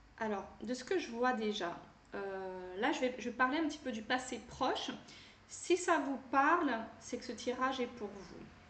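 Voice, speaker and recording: A woman speaks at a fairly slow pace with a high voice and lively intonation. Room echo is audible around her. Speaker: tarot card reader and energy healer. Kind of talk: card reading guidance. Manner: hesitant, many fillers.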